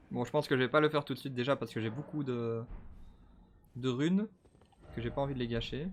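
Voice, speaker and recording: A man talks at a very fast pace and a medium pitch, with ordinary pitch variation. Long pauses come often. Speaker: gaming streamer. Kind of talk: let's play commentary. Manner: animated.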